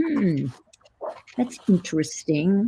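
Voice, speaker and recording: A put-on character voice at a middle pitch that swings very widely up and down. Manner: pondering, savoring a taste.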